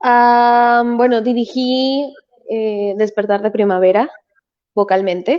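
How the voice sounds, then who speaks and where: Her voice fairly high in pitch, a woman speaks at a very slow pace with fairly even intonation. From Venezuela. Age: 20s. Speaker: musical theatre performer and voice teacher. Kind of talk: interview.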